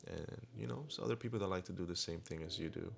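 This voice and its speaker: The voice races at a very fast pace with very wide pitch swings. Vocal fry runs through it. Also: man. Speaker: vlogger. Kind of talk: voiceover narration; live commentary while riding. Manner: casual, hesitant with fillers.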